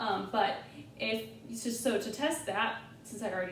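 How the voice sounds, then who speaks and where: A woman speaks with audible room echo around her. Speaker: nursing student. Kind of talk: tutorial. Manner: loud.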